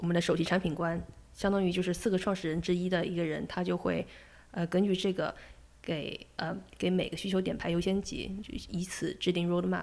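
This woman talks at a fairly quick pace with a fairly low pitch and fairly even intonation. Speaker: product designer. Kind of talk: interview conversation. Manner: halting, many fillers.

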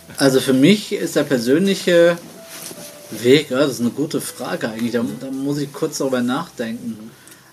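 Noticeable background noise sits behind a man with a fairly high pitch. He keeps a moderate pace and ordinary pitch variation. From Germany, German-Turkish family. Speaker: painter. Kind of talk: interview.

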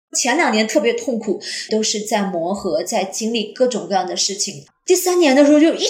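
With audible room echo, a woman speaks at a moderate pace, her pitch swinging very widely. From Jilin, northeast China. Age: 30s. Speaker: teacher. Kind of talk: personal testimony.

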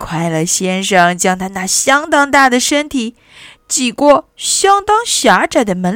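Someone reads the text aloud plainly.

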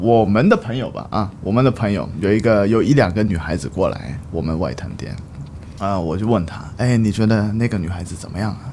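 The intonation is lively and the pace moderate. Noticeable background noise runs behind the speech. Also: man. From Tokyo and Hong Kong. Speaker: coffee brand manager. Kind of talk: casual chat.

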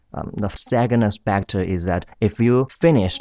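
Someone with a Chinese accent speaks at a fairly slow pace with ordinary pitch variation. The sound is dry and close with no echo, over a quiet background. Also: man. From China. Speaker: university student. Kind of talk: interview. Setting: studio. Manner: halting.

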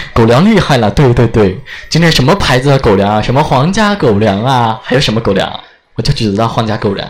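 A man talks in a Sichuan accent at a medium pitch and a fairly quick pace, with lively intonation. Noticeable background noise is present. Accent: Sichuan-accented Mandarin. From Chengdu, Sichuan. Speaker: live-stream radio host. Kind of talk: live-stream chat and interviews. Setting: restaurant, on-location live stream. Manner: animated.

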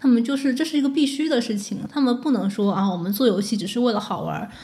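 A woman at a very fast pace with ordinary pitch variation and audible room echo. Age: 20s. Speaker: former game media editor. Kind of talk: podcast conversation.

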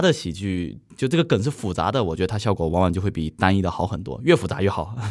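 The speech rushes by at a very fast pace with hardly any pauses. It is a very clean recording with a silent background. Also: man. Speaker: manzai comedian. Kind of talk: casual chat.

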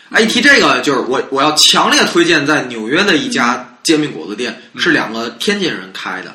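A voice with very wide pitch swings and big shifts in loudness speaks at a fairly quick pace over noticeable background noise. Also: man, fairly high pitch for a man. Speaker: podcast host. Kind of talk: casual chat.

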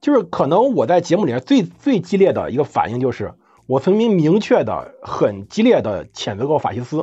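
Music sits in the background as a man with a fairly high pitch speaks in very wide pitch swings. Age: 30s. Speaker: history podcast host. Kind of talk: casual chat.

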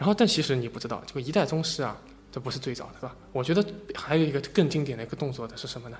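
A man with a fairly high pitch talks at a very fast pace with lively intonation. His loudness swings widely over noticeable background noise. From Shanghai, China. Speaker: podcast host. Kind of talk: casual chat.

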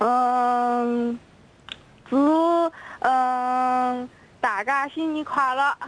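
A woman speaks at a very slow pace with long, frequent pauses, using a high pitch and fairly even intonation. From southern China. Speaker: listener calling in. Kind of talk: casual chat. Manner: halting.

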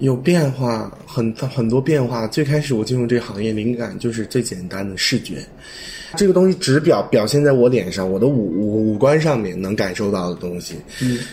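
This man has a medium pitch and lively intonation at a moderate pace. Background noise is noticeable. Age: young. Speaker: fashion designer. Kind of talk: casual chat.

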